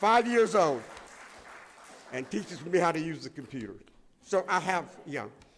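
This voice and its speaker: Over crowd noise in the background, a man speaks at a high pitch with very wide pitch swings. His pace is moderate, broken by long, frequent pauses. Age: 80s+. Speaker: Holocaust survivor speaker. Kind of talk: testimony. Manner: emphatic, repetitive.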